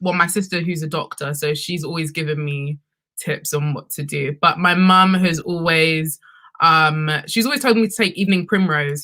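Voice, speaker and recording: A woman with a London accent speaks at a fairly low pitch and moderate pace with ordinary pitch variation. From London, UK. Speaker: sex and relationships content creator. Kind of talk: panel discussion.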